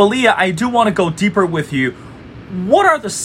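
A Chinese accent amid noticeable background noise. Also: man. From China, Beijing. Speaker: podcast host. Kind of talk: interview.

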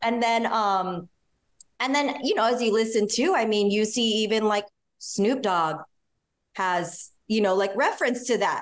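Fairly high in pitch, a woman's voice, an unremarkable speaking voice, holds very even loudness, ordinary pitch variation and a fairly slow pace. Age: 40s. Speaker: fashion stylist. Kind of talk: casual chat.

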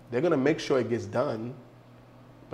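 The recording has audible room echo. In it, a man talks with an American accent. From New York City. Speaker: behavioral psychology consultant. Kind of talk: casual chat.

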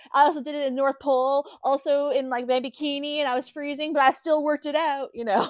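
High in pitch, a woman speaks at a very fast pace with hardly any pauses. Her intonation is fairly even, and background noise is noticeable. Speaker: podcast co-host. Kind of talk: casual chat, recapping a TV show.

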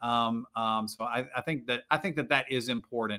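A man speaks in an ordinary speaking voice at a medium pitch, with ordinary pitch variation and a moderate pace. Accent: American. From Virginia. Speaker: pastor. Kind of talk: casual interview.

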